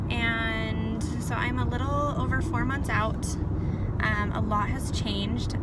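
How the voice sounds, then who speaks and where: A woman speaks very slowly in a dry sound with no echo, over loud background noise. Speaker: vlogger. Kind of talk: casual vlog chat. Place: car. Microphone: phone near.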